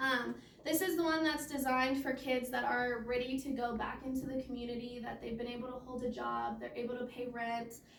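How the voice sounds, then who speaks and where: In a monotone, flat intonation, a woman talks at a high pitch with audible room echo. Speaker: case manager at a youth homelessness nonprofit. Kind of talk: presentation at a meeting. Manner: fast.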